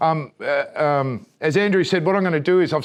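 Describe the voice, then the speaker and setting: A man speaks with an Australian accent at a fairly high pitch. His pitch varies in an ordinary way, over a quiet background. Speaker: solar company presenter. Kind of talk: training presentation. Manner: fast.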